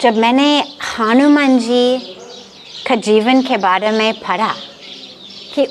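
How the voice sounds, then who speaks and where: Noticeable background noise sits behind this woman. Her pitch is high and varies in an ordinary way. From Los Angeles, USA. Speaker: spiritual leader. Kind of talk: interview answer. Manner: mixes Hindi and English.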